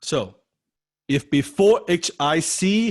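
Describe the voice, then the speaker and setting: An animated man's voice with a non-native accent and very wide pitch swings, over a quiet background. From Chinese heritage. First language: not English. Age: 30s. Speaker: copywriting coach. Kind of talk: online class lecture. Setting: online video class.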